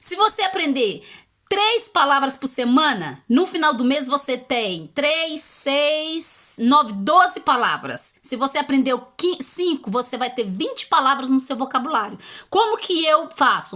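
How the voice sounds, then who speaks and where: Her voice is high, raised and projected. The woman speaks at a fairly slow pace with very wide pitch swings. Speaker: YouTuber giving language-learning tips. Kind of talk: casual advice video.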